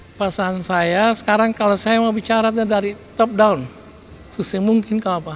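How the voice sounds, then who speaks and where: A man speaks with high pitch at a moderate pace. His intonation is fairly even. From Kei Islands, Maluku. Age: 60s. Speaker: regent (local government head). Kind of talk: interview remarks. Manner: halting with fillers.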